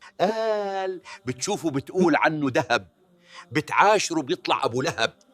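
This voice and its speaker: Someone speaks at a fairly slow pace with a Levantine accent and lively intonation. The sound is dry and close, with no echo. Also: man, high pitch for a man. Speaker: storyteller. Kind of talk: comedic folk-proverb sketch dialogue.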